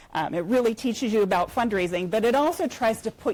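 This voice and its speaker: Music plays in the background. The voice has an American accent and lively intonation. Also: woman. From United States. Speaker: nonprofit fundraising executive. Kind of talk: conference talk. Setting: conference room with audience.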